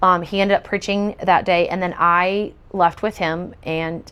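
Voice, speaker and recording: This woman speaks with an American accent. Her pitch sits in the medium range, and her intonation stays fairly even. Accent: slight country. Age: 40s. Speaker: testimony speaker. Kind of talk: testimony. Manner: hesitant, many fillers.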